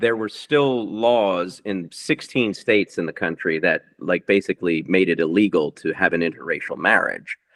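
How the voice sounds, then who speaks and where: In an ordinary speaking voice, a man talks at a moderate pace with fairly low pitch, ordinary pitch variation and hardly any pauses. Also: dry, close sound with no echo. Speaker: rock musician and author. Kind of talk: interview.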